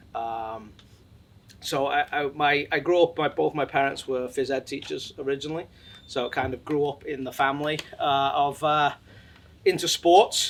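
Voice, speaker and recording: A man speaks with an English accent at a moderate pace. His intonation stays fairly even. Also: fairly high pitch for a man. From England. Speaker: sports company executive. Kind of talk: interview.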